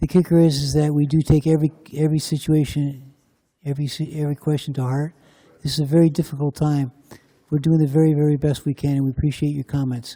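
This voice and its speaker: Quiet and somewhat breathy, a man's dark, mellow voice of fairly high pitch runs at a very fast pace with monotone, flat intonation, recorded dry and close with no echo. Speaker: county commissioner. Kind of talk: public meeting remarks.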